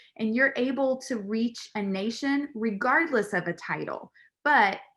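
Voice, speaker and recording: The recording is very clean, with a silent background. A woman speaks at a fairly slow pace in a fairly high pitch, her tone animated and her intonation lively. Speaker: pageant titleholder. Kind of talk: video interview. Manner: loud.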